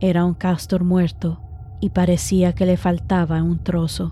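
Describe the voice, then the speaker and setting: Here a woman is speaking. Her pace is fairly slow. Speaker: podcast host and horror storyteller. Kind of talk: scripted horror story narration.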